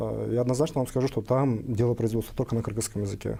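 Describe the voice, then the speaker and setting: Talking at a very fast pace, a man uses fairly even intonation and a somewhat breathy voice with a dark, mellow tone. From Kyrgyzstan. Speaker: business association head. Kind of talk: panel debate.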